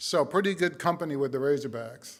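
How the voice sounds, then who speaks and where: A man's fairly high voice at a fairly quick pace. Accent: New England. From New England. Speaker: university leader. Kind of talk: ceremony speech. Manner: formal.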